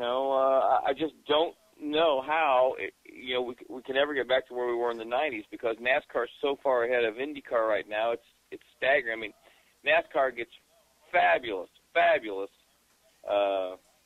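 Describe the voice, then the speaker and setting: A man talks in an unremarkable speaking voice at medium pitch. His pace is moderate, and his pitch varies in an ordinary way. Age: 60s. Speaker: motorsport journalist and TV commentator. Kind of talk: casual chat.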